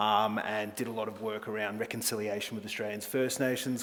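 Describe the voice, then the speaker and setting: Over noticeable background noise and audible room echo, a man with a fairly low pitch talks at a fairly quick pace in a monotone, flat intonation. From Australia. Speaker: travel company executive. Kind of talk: conference presentation.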